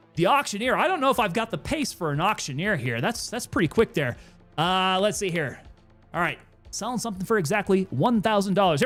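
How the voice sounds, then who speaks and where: The talking moves along fairly quickly. In the background, music is playing. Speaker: livestreamer reading chat.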